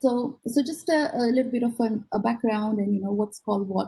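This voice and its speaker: A woman speaks at a fairly quick pace with a fairly high pitch and ordinary pitch variation. Her voice is somewhat breathy, with a dark, mellow tone. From India (Gujarat) and Australia (Sydney). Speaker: neuroscientist. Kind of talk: lecture. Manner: halting, many fillers.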